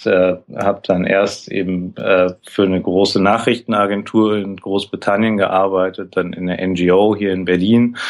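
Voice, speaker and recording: The delivery is monotone and flat at a fairly slow pace. There are hardly any pauses. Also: man, fairly low pitch for a man. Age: 40s. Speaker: graphic facilitator. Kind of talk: interview.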